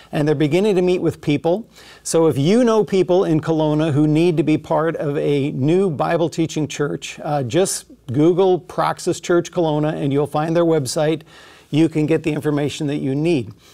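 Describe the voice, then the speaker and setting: A man's dark, mellow tone at a moderate pace, with ordinary pitch variation over a quiet background. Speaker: pastor. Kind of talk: church announcements before sermon. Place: studio. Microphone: lapel.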